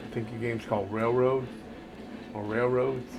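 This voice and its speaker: Amid noticeable background noise and audible room echo, a man talks fairly quickly at a medium pitch with a monotone, flat intonation. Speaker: gaming streamer. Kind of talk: gameplay commentary.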